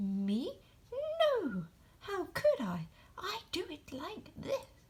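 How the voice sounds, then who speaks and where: A woman puts on a squeaky character voice at an extremely high pitch, speaking at a very slow pace. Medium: read story. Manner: matter-of-fact.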